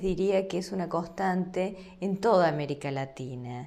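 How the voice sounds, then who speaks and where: A woman's medium-pitched voice with an Argentine accent, a dark, mellow tone, lively intonation and a fairly slow pace, with audible room echo. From Argentina. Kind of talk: lecture. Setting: recorded online course video.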